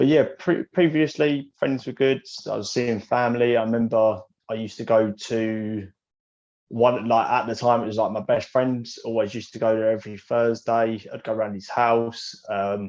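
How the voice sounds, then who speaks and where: With an English accent, a man speaks at a moderate pace and medium pitch, his intonation fairly even. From England. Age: 20s. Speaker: young entrepreneur. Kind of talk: podcast interview.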